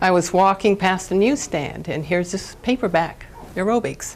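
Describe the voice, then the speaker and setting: Over noticeable background noise, a woman speaks in a medium pitch at a moderate pace. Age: 70s. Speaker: vegan athlete speaker. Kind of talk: conference talk. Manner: animated.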